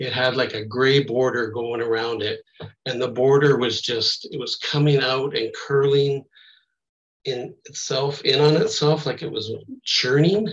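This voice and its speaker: A somewhat breathy voice at a fairly slow pace, with ordinary pitch variation. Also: man, fairly high pitch for a man. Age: 60s. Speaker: near-death experience survivor. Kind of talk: testimony. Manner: halting.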